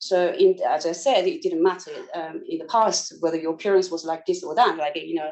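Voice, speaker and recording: Noticeable background noise sits under a woman's voice. She talks at a fairly quick pace with hardly any pauses. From South Korea. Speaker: concert pianist and neuroscientist. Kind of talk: interview.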